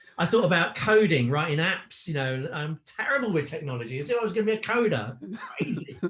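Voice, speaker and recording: A man with a fairly high pitch talks at a fairly quick pace with hardly any pauses and very wide pitch swings, over noticeable background noise. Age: 50s. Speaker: online business owner, former corporate salesman. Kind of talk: interview answer.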